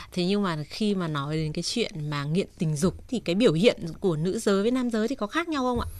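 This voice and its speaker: A woman talks at a very fast pace with a medium pitch. Her intonation is lively. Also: hardly any pauses. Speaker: radio host. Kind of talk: call-in advice show. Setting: studio. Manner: polite.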